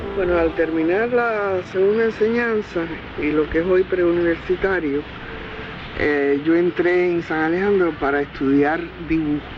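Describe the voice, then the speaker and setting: Against noticeable background noise, a woman with a fairly low pitch speaks fairly slowly, her loudness very even. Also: ordinary pitch variation. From Cuba. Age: 80s+. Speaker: sculptor. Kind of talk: interview reminiscence.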